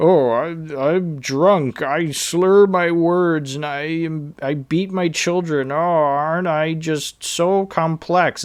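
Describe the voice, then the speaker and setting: This put-on character voice sits at a middle pitch and moves at a very slow pace with hardly any pauses. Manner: mocking, sarcastic.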